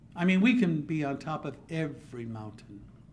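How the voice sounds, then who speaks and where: The voice is somewhat breathy, with lively intonation. There is audible room echo. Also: man. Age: 60s. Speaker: journalist giving a speech. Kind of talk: public speech. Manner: formal.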